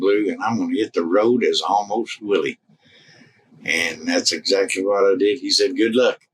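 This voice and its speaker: A man speaks at a moderate pace. His tone is relaxed. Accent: South Midland US. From Missouri, US Midwest/South border. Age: 70s. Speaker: Willie Nelson impersonator and musician. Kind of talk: interview, casual chat. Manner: relaxed, folksy with many fillers.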